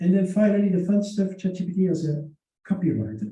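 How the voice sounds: A man with a high pitch and a dark, mellow tone talks at a fairly quick pace. His intonation is lively, and strong room echo surrounds the voice.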